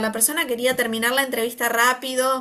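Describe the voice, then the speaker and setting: A woman's bright, sharp, high-pitched voice at a fairly quick pace. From Argentina. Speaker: occupational therapist and researcher. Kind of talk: interview conversation. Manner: hesitant, many fillers.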